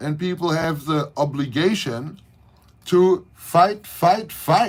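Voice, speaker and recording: In a German accent, the speaker goes at a very slow pace with ordinary pitch variation. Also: man. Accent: German accent, harsh. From Germany, Berlin. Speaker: leather maker and local political commentator. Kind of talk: livestream rant. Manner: animated.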